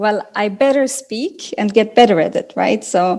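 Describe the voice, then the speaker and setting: Lively intonation carries a dark, mellow tone at a very slow pace. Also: woman. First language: not English. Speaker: business executive. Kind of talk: interview. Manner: halting.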